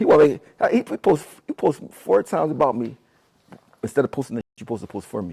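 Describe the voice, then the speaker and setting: A man's medium-pitched voice with vocal fry, very wide pitch swings, big swings in loudness and long, frequent pauses, dry and close with no echo. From Philadelphia, US. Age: 40s. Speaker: rapper. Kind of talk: interview. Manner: halting.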